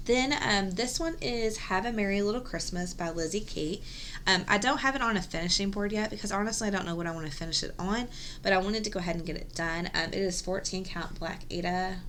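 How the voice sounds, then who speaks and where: The speech moves at a very fast pace with ordinary pitch variation. Audible echo from the room surrounds it. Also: woman, medium pitch for a woman. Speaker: cross-stitch video host. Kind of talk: casual show-and-tell vlog. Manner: soft-spoken, quiet; hesitant, many ums.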